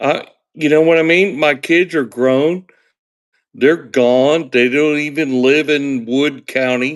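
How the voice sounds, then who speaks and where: A man's fairly high voice at a very slow pace, with fairly even intonation and very even loudness, in a very clean recording with a silent background. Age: 60s. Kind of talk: casual chat.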